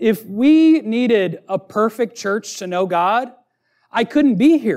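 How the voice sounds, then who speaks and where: A high-pitched man speaks with lively intonation in a very clean recording with a silent background. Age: 30s. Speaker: pastor. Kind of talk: sermon.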